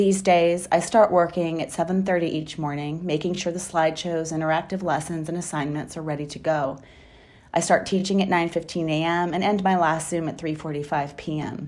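Speech runs at a fairly quick pace. The intonation is monotone and flat. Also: woman, fairly low pitch for a woman. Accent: American. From Wisconsin. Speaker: high school teacher. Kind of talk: personal storytelling. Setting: recorded at home.

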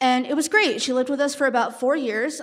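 A woman speaks with an American accent and fairly even intonation. The recording is very clean, with a silent background. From California. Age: 20s. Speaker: storyteller. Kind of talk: live storytelling. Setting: stage with audience.

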